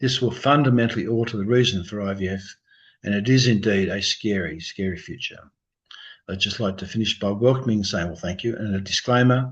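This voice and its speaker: A man mumbles at a fairly quick pace in a fairly low, somewhat breathy voice with ordinary pitch variation. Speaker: embryologist. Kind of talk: lecture. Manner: mumbling.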